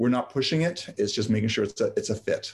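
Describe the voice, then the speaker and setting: Over a quiet background, a man talks at a very fast pace in a somewhat breathy voice. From Yugoslavia, raised in London, Ontario. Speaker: herbalist and permaculture land center founder. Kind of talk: interview. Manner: halting, repeats words.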